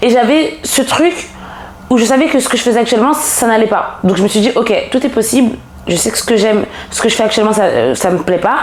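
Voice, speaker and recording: A woman talks very fast at a fairly high pitch. Noticeable background noise and audible room echo are present. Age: 20s. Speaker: personal development coach. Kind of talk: casual podcast interview. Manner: hesitant, many fillers.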